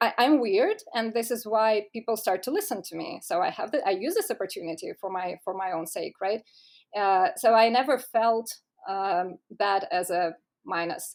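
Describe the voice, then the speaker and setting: With a Russian accent, a woman with a fairly high voice speaks at a moderate pace. Her intonation is lively. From Russia (Moscow). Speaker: tech startup co-founder. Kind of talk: podcast interview. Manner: formal; halting.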